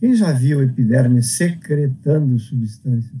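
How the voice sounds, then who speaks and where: Very slow and somewhat breathy, a man's dark, mellow voice sits at medium pitch with ordinary pitch variation. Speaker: teacher. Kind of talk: lecture.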